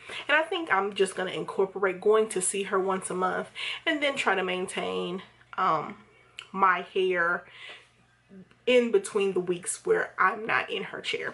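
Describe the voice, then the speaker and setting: A woman's medium-pitched voice, ordinary pitch variation, a fairly slow pace, and long, frequent pauses. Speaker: hair vlogger. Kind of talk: casual vlog review. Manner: rambling, hesitant with fillers.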